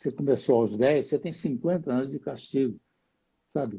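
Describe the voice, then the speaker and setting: A dark, mellow tone comes through, somewhat breathy. The pace is moderate and the intonation lively. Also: man. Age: 80s. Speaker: jiu-jitsu master. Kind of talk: live interview.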